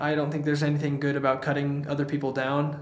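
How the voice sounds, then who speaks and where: A man with an American accent talks very fast in a fairly high voice, with noticeable background noise behind him. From Idaho.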